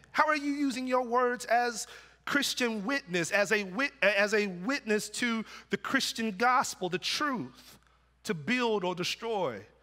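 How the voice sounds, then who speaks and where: A man speaks in a raised, projected voice with a bright, sharp tone and high pitch, his intonation lively and his pace fairly slow, on a very clean recording with a silent background. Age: 40s. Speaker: pastor. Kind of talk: sermon. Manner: halting, repeats words.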